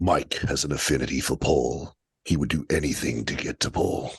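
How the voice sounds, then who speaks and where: A man puts on a raspy character voice with a very deep, low pitch and a dramatic tone. He speaks at a moderate pace with fairly even intonation. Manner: dramatic, gravelly.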